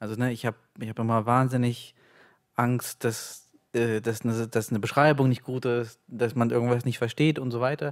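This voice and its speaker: Against a quiet background, a man uses an ordinary speaking voice with fairly even intonation. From Ukraine (Kyiv), raised in Leipzig from age 8. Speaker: author. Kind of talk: reading aloud; interview answer. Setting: stage with audience. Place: stage. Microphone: studio mic.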